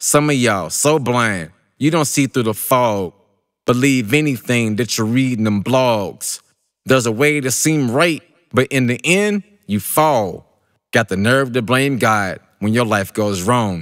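A normal speaking voice with lively intonation, delivered at a fairly slow pace. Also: man, medium pitch for a man. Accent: American. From Kentucky, USA. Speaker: spoken word poet. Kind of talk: spoken word poetry performance.

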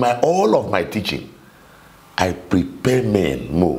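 A man with a Nigerian accent speaks with lively intonation. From Nigeria, Cross River State. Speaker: minister. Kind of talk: interview on marriage. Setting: studio. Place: studio. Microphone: lapel.

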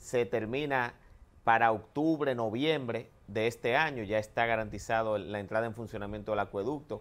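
Medium pitch from a man, ordinary variation in that pitch, and a moderate speaking speed. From Dominican Republic. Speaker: government agency director; guest. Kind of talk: TV interview. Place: studio. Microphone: lapel.

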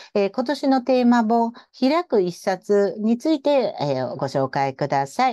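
A woman speaks at a fairly slow pace in a dark, mellow tone, her pitch swinging very widely. The sound is dry and close with no echo, over a quiet background. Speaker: radio host. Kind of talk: casual radio interview, polite.

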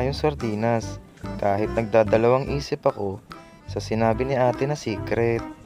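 A man talks at medium pitch and a moderate pace, with lively intonation and a playful tone. Music plays in the background. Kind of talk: comedic voice-over narration of cooking vlog. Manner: playful, joking.

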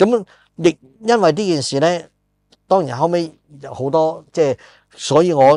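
The speaker is a man. The sound is dry with no echo, over a quiet background. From Hong Kong. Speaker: podcast host and film screenwriter; podcast host. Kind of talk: casual chat. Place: studio. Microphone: lapel.

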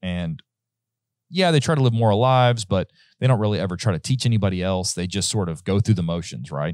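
Talking at a very fast pace with lively intonation, a man with a fairly low pitch is heard in a dry sound with no echo and a quiet background. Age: 30s. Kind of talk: casual Bible study discussion. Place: studio. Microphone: studio mic.

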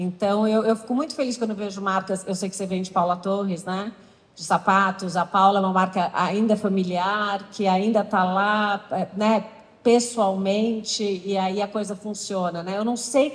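The woman's voice is somewhat breathy. She moves at a moderate pace. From Brazil. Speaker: talk host; panel host. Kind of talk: stage interview. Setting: stage with audience. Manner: animated. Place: stage. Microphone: handheld.

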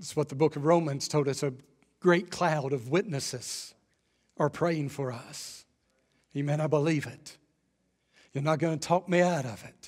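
At a moderate pace, a man with a fairly high pitch and ordinary pitch variation speaks with big swings in loudness and long, frequent pauses against a quiet background. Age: 50s. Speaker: pastor. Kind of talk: sermon. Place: church. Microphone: headset.

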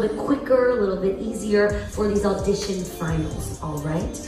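A woman speaks at a moderate pace with lively intonation, with music playing in the background and audible echo in the room. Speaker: game show host. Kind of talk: stage host announcements. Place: hall.

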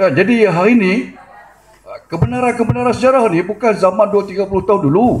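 Speaking at a fairly quick pace, a man has a high pitch and lively intonation. Light background noise sits underneath. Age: 50s. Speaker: audience member. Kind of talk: audience comment. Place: meeting room. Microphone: handheld.

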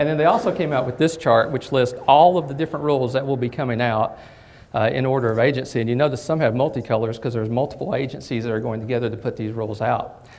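This man talks at a very fast pace with a Southern US accent. His pitch is medium, with ordinary variation. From southern Kentucky. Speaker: bank technology executive. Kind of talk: presentation. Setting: lunch presentation with audience. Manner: hesitant, many fillers. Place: hall.

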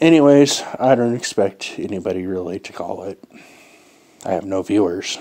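A man's fairly low voice with ordinary pitch variation against a quiet background. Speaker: vlogger. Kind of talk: casual vlog chat. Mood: relaxed, amused. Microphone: earbuds.

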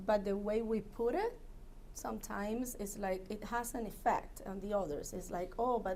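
A woman with a non-native accent speaks fairly slowly in a fairly high pitch, with ordinary pitch variation and a dark, mellow tone. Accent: foreign. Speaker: commission applicant. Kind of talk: job interview. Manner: halting.

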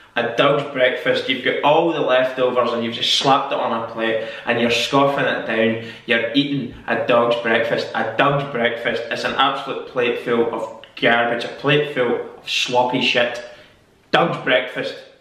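In a Scottish accent, a man speaks fairly slowly, with audible room echo. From Scotland. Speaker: YouTuber. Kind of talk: casual talk to camera. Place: home room. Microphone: camera far.

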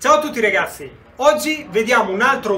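A raised, projected voice at a moderate pace with lively intonation, over light background noise. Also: man. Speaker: boxing trainer. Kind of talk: tutorial. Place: garage. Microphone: camera far.

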